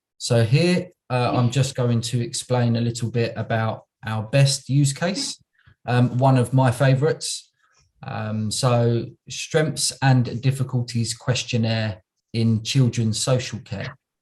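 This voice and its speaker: A man's somewhat breathy voice moves at a very slow pace with fairly even intonation. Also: medium pitch for a man. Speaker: local government automation manager. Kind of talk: conference presentation. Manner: slow, deliberate; hesitant, many fillers.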